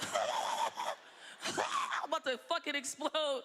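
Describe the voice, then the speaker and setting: A put-on character voice comes through at an extremely high pitch, sounding strained. It moves at a very slow pace over loud background noise. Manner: groaning, strained.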